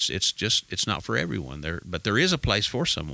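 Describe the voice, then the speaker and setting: A man speaks with an American accent and vocal fry in a bright, sharp tone. The recording is very clean, with a silent background. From Texas Panhandle. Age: 60s. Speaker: pastor and author. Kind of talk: casual interview chat. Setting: studio.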